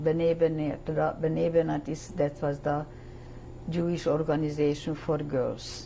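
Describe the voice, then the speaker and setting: In a Hungarian accent, a woman speaks with a very deep, low pitch and monotone, flat intonation. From Hungary. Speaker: Holocaust survivor. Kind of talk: testimony.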